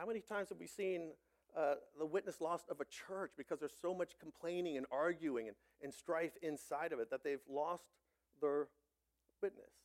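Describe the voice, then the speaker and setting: With an American accent, the speaker talks at a moderate pace with ordinary pitch variation and long, frequent pauses, in a dry, close sound with no echo. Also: man, fairly high pitch for a man. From Ohio, US Midwest. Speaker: pastor. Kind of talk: sermon. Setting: church.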